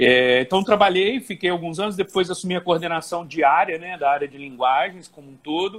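Talking at a moderate pace with hardly any pauses, a man with a high voice shows ordinary pitch variation and big swings in loudness. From Brazil, Volta Redonda, Rio de Janeiro state. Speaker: Portuguese teacher for civil service exam prep. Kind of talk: casual interview. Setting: Instagram live video call.

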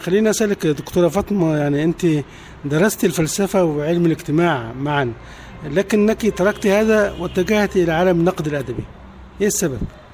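At a moderate pace, a man with a high voice and ordinary pitch variation talks at a very even loudness. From Egypt. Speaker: radio host. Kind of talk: interview.

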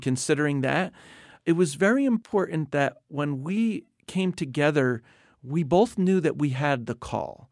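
Recorded very cleanly against a silent background, a man with an American accent has a plain, everyday voice, fairly high in pitch with ordinary variation, at a moderate pace. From US Northeast, New Jersey. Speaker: missionary leader. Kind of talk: interview. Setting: studio.

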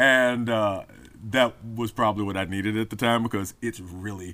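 Over a very clean recording with a silent background, a man with an American accent uses a fairly low pitch and a bright, sharp tone, holding a fairly even intonation at a moderate pace. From Memphis, US South. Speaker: comic book writer and poet. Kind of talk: interview.

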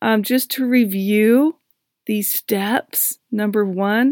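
A woman's very slow speech with ordinary pitch variation, dry and close with no echo, on a very clean recording with a silent background. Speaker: divorce coach podcast host. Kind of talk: solo podcast monologue. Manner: emphatic when excited; animated.

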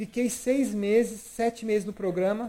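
A man speaks at a moderate pace in a high voice with a dark, mellow tone. His intonation stays fairly even. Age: 30s. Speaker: podcast host. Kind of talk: casual chat.

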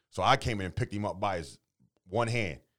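Recorded very cleanly against a silent background, a man with a very deep, low pitch uses lively intonation and vocal fry. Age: 30s. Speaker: podcast co-host. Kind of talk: casual chat.

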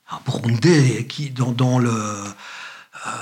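Against noticeable background noise, a man with medium pitch talks at a fairly slow pace with fairly even intonation. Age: 60s. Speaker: retired journalist and journalism lecturer. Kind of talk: interview conversation.

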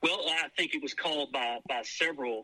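A man in a Louisiana accent speaks at a moderate pace, the sound dry and close with no echo. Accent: Southern US (Louisiana). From US South, Shreveport, Louisiana. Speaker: businessman. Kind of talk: casual chat.

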